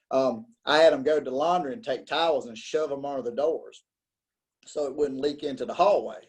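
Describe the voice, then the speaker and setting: At a fairly quick pace, a man with an American accent talks at a fairly high pitch with ordinary pitch variation. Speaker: podcaster, former corrections officer. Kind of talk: interview. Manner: casual, with many fillers and repetitions.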